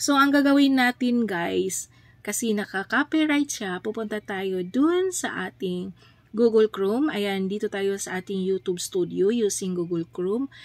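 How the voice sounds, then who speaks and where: In a plain, everyday voice with lively intonation, the speaker goes at a fairly slow pace, and the sound is dry and close with no echo. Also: woman, medium pitch for a woman. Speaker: YouTube livestreamer. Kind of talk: tutorial. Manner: casual, filler-heavy with frequent 'ayan'.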